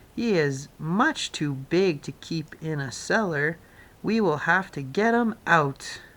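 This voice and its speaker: A woman uses a put-on character voice at a fairly low pitch and fairly slow pace. Her intonation is lively on a very clean recording with a silent background. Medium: read story. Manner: brisk, businesslike.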